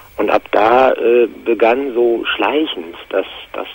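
Background noise is noticeable throughout. Through it, a man's voice comes across. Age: 50s. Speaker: caller. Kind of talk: testimony. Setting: phone call.

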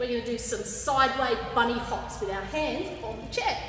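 A woman talks at a fairly quick pace. Clear background noise and audible room echo come through.

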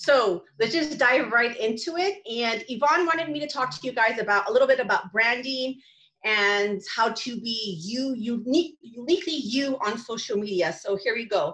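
A woman speaks with an American accent and a high pitch. Her intonation is lively. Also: moderate pace. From California, San Fernando Valley. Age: 40s. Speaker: social media coach. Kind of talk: talk. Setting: video call.

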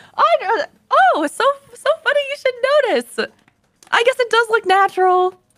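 Against a quiet background, a woman speaks at a fairly slow pace with long, frequent pauses. Her pitch is extremely high and her intonation lively. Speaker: streamer. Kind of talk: casual chat. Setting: video call. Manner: animated. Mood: playful, laughing. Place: home room. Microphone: studio mic.

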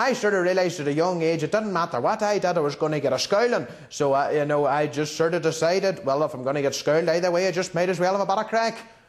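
A man with a strong Northern Irish accent and a high pitch talks at a very fast pace with hardly any pauses, using ordinary pitch variation. His tone is cheerful, and there is noticeable background noise. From Northern Ireland. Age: young. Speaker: school student. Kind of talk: TV news interview answer. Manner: cheerful, comic.

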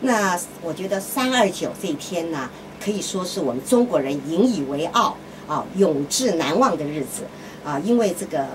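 A woman's fairly low voice at a moderate pace, with very wide pitch swings and noticeable background noise. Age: old. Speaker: radio host. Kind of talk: radio talk monologue. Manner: frequent filler sounds. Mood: opinionated, conversational. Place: booth.

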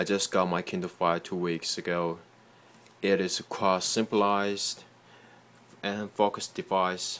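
A man's fairly low, monotone voice with flat intonation, a fairly slow pace and long, frequent pauses. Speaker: software developer. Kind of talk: casual tech demo. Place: home room. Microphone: phone near.

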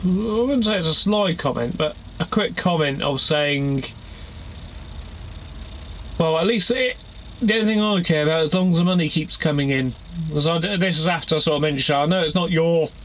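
Over light background noise, a man speaks at a moderate pace with long, frequent pauses. His voice is high-pitched, with ordinary pitch variation. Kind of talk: casual vlog chat. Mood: mildly annoyed, recounting complaint. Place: car. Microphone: phone near.

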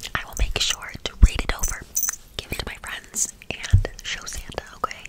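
A woman whispers. Her pace is moderate. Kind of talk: roleplay talk to the viewer as a character. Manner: soft, close ASMR speaking. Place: home room.

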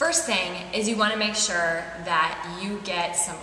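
A woman is speaking. Light background noise and audible room echo can be heard. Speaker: fitness instructor. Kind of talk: tutorial. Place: home room.

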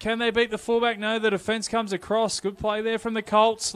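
This man speaks with an Australian accent in a high voice. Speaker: rugby league commentator. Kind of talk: live commentary. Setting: stadium.

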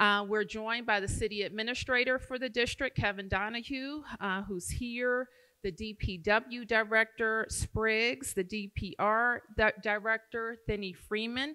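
Over a quiet background, a woman speaks at a fairly slow pace. Her intonation is fairly even. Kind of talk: public forum speech. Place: hall. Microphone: podium.

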